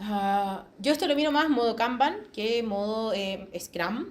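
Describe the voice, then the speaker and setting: A woman with lively intonation amid audible room echo. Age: 40s. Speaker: agile quality assurance speaker. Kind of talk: conference talk. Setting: hybrid meetup presentation. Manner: animated.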